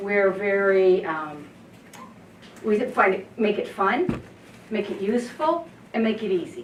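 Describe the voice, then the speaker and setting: A woman speaks loudly at a medium pitch, her voice swinging very widely up and down at a fairly slow pace with long, frequent pauses. Noticeable background noise and audible room echo fill the recording. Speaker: disaster preparedness volunteer. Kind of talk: community presentation.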